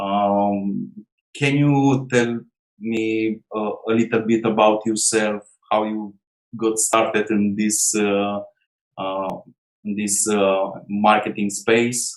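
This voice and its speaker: A man with a non-native accent, fairly low pitch, monotone, flat intonation and a very slow pace. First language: not English. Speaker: online marketer interviewer. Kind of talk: interview. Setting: call. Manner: halting, many fillers.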